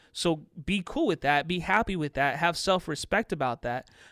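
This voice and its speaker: A man with an American accent talks at a fairly quick pace, his pitch fairly high with ordinary variation. The recording is very clean with a silent background, and his is an unremarkable speaking voice. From US Midwest (Chicago, southern Indiana). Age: 30s. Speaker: contracting business podcaster and consultant. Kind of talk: casual interview.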